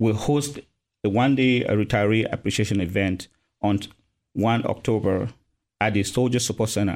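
In a Cameroonian accent, the speaker keeps a moderate pace and fairly even intonation, with long, frequent pauses. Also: man, fairly low pitch for a man. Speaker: army retirement services officer, military veteran. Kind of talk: casual interview.

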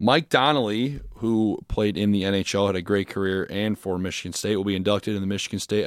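Dry and close with no echo, a plain, everyday voice speaks at a moderate pace with an American accent. The recording is very clean with a silent background. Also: man. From Indiana, US Midwest (Crown Point). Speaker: student sports podcast co-host. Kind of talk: casual sports chat. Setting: studio in a basement.

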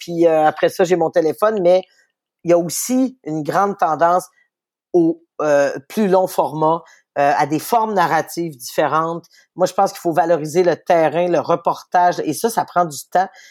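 With a Quebec accent, a woman talks with ordinary pitch variation and long, frequent pauses on a very clean recording with a silent background. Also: fairly low pitch for a woman, moderate pace. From Quebec City, Quebec. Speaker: newspaper editor-in-chief. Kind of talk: interview.

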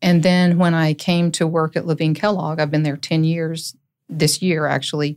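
A woman speaks with an Appalachian accent at a very deep, low pitch. Her pace is moderate, her intonation monotone and flat, and her loudness very even. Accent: Southern US, Appalachian. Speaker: lawyer and court-appointed receiver. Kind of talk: casual interview chat.

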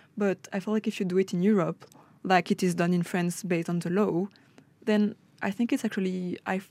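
A woman's very fast speech in a French accent, medium in pitch with fairly even intonation, on a very clean recording with a silent background and a dry, close sound with no echo. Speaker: student. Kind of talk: casual radio discussion.

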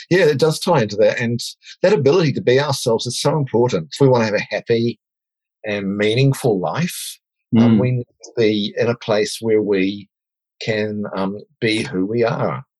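A man in a New Zealand accent talks at medium pitch with lively intonation. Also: moderate pace. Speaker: diversity and inclusion advocate. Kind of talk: interview.

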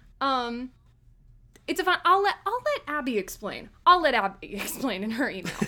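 With noticeable background noise behind it, the voice is raised and projected, moving at a moderate pace through very wide pitch swings. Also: woman, high pitch for a woman. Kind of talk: casual chat. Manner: joking, playful.

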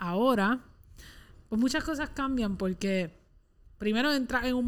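A woman speaks with a Puerto Rican accent at a fairly slow pace, using ordinary pitch variation. The recording is very clean, with a silent background. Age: 20s. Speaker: podcast co-host. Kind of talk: casual chat.

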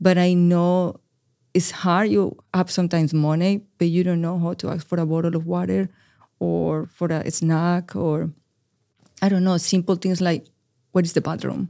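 A speaker with a Spanish accent is heard on a very clean recording with a silent background. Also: moderate pace. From Colombia, Medellin. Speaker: research coordinator and patient navigator. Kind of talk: interview.

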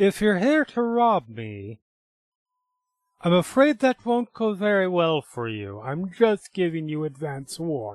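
In a put-on character voice, the speaker sounds raspy, swings very widely in pitch and keeps a fairly slow pace. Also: man, high pitch for a man. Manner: calm, warning.

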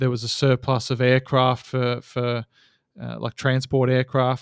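A man speaks at a moderate pace in an Australian accent, his medium pitch held in a flat monotone. The sound is dry and close with no echo. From Australia, Geelong (Victoria). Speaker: seaplane pilot and operator. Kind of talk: casual interview.

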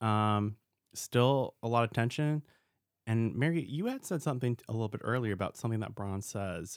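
On a very clean recording with a silent background, a man of medium pitch speaks in an unremarkable speaking voice. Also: dry, close sound with no echo. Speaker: podcast host. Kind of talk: casual chat.

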